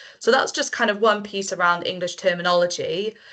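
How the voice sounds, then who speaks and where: A woman speaks with a Welsh accent. Her pace is very fast. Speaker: marine conservation project manager. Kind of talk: panel discussion.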